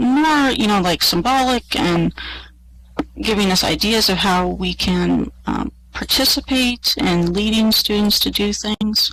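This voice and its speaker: A soft-spoken woman with a medium-pitched voice talks at a fairly slow pace, her pitch moving in an ordinary way. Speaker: college professor. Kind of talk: conference presentation. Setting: online virtual world presentation to audience. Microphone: quiet, listeners may need to turn up.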